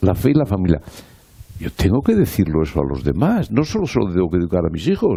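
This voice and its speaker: With a very deep, low pitch, a man keeps to a moderate pace. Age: 70s. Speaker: politician. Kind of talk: panel discussion. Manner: animated.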